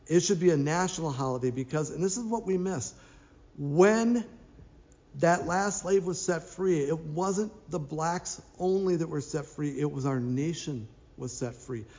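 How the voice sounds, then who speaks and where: Lively intonation and an American accent come through at a fairly slow pace, with audible room echo. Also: man, fairly high pitch for a man. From Minnesota. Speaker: pastor. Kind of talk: announcements and sermon. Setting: online church service.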